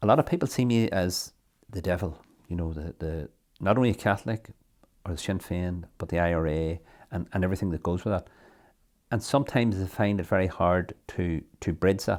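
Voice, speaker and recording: On a very clean recording with a silent background, a man with a Northern Irish accent and a very deep, low pitch talks at a fairly quick pace with lively intonation and long, frequent pauses. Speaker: local councillor. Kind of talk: interview testimony.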